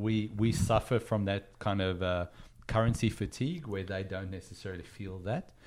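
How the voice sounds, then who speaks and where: Speaking in an Australian accent, a man keeps a moderate pace, a fairly low pitch and fairly even intonation. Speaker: comics collecting podcast host. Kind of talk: casual chat. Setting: video call.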